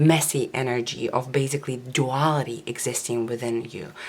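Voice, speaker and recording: A woman speaks at a moderate pace while noticeable background noise runs behind her. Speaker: tarot reader. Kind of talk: tarot reading.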